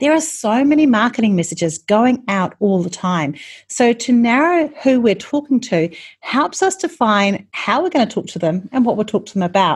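Speaking at a moderate pace with a New Zealand accent, a woman uses a fairly high pitch and very wide pitch swings. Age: 40s. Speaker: marketing podcast host. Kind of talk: solo podcast teaching talk.

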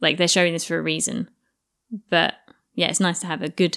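A woman with a British accent, with long, frequent pauses. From England. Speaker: podcast co-host. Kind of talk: casual chat. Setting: remote call.

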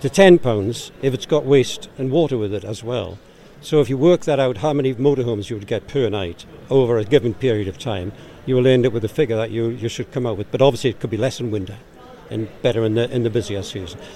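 This man has a Geordie accent and a medium-pitched voice. He talks very fast, with ordinary pitch variation. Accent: Geordie, noticeable. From Newcastle, north-east England. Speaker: organisation director. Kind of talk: interview. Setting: live at a motorhome show.

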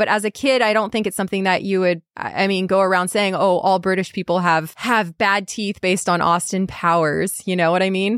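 Heard in a dry, close sound with no echo and a very clean recording with a silent background, the speaker has an American accent and fairly even intonation. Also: woman, medium pitch for a woman. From United States. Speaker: podcast host. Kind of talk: casual chat.

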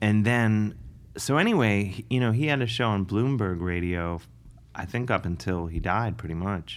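With an American accent and an ordinary speaking voice, a man talks at a moderate pace, his fairly low pitch showing ordinary variation. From US Midwest, Cleveland, Ohio. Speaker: comedian and musician. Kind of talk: casual interview.

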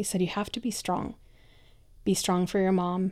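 A woman talks at medium pitch and a moderate pace in a dark, mellow tone. The recording is very clean, with a silent background. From Michoacán, Mexico. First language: Spanish. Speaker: storytelling producer. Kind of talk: live storytelling.

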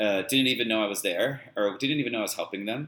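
A man at medium pitch with an American accent, in an ordinary speaking voice with ordinary pitch variation. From Los Angeles suburbs, US. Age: 40s. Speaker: dance teacher and choreographer. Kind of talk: casual chat. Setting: video call.

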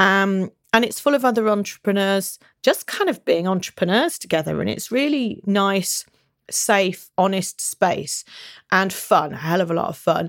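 A woman with a British accent speaks at medium pitch and a moderate pace, her intonation lively. The recording is very clean with a silent background and a dry, close sound with no echo. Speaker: business coach. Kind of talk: solo podcast monologue. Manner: animated.

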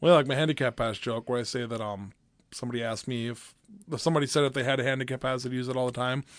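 A man talks at a very fast pace against a quiet background. His medium pitch holds fairly even intonation. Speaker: stand-up comedian. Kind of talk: casual chat.

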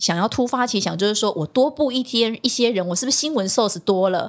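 Talking at a very fast pace, a woman with a fairly high pitch uses lively intonation. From Taiwan, Tainan. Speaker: TV news anchor and former reporter. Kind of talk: casual interview chat.

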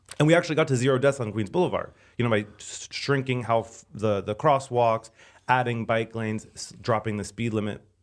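A man with a normal speaking voice, medium in pitch, talks at a moderate pace with ordinary pitch variation against a quiet background. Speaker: transportation expert. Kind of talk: casual chat.

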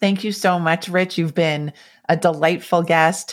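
A woman speaks in an unremarkable speaking voice at a moderate pace, her pitch fairly low, on a very clean recording with a silent background. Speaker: psychologist and podcast host. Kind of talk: interview. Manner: warm.

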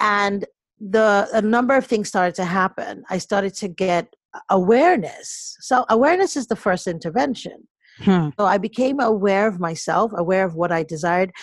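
A woman talks at a medium pitch and a moderate pace with lively intonation. The sound is dry and close with no echo, in a very clean recording with a silent background. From US, Nigerian parents, partly raised in Nigeria. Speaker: life coach and author. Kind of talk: interview. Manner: animated.

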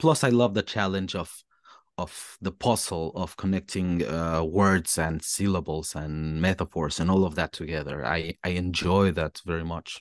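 This man has a very deep, low pitch with ordinary pitch variation, speaking at a moderate pace. His voice sounds dry and close with no echo, and the background is quiet. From Mexico. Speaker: hip hop artist. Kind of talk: casual interview chat. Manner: halting, searching for words.

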